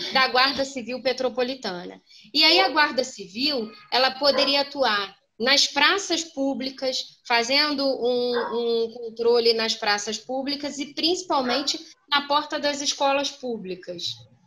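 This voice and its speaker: A raised, projected voice with a bright, sharp tone. It moves at a fairly slow pace with ordinary pitch variation. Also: woman. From Brazil, Petrópolis (Rio de Janeiro state). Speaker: lawyer and council candidate. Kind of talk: political Q&A interview. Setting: video call.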